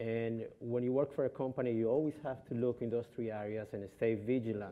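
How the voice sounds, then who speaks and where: A man speaks with a Colombian accent at a fairly quick pace. His pitch is medium and his intonation fairly even. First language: Spanish. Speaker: travel company executive. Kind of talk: panel discussion. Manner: halting, many fillers.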